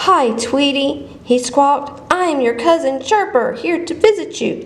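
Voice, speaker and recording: A woman's put-on character voice, high in pitch, at a moderate pace over light background noise. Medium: read story.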